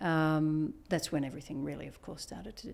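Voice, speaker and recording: A woman speaks in a very deep, low voice with vocal fry on a very clean recording with a silent background. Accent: Australian. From Australia. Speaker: biotech executive and physician. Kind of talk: interview.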